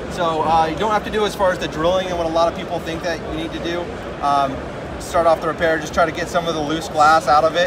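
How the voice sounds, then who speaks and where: A man talks at a very fast pace with a high pitch. His intonation is monotone and flat, with noticeable background noise. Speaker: glass repair tool company rep. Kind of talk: product demonstration. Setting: trade show floor. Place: hall. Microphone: phone near.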